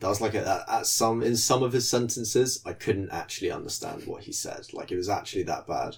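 Hardly pausing at all, a man with a British accent speaks at a fairly quick pace. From UK. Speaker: podcast co-host. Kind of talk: casual chat.

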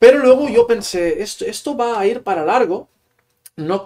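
A man speaks with a Catalan accent. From Catalonia, small town near Barcelona. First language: Catalan (speaking Spanish). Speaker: Spanish teacher and author. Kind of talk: casual interview.

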